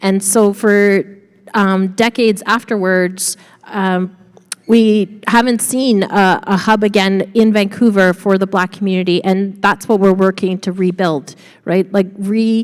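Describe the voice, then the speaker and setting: The delivery is fairly slow, with very even loudness and monotone, flat intonation. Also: woman, medium pitch for a woman. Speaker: community land trust leader. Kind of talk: panel discussion.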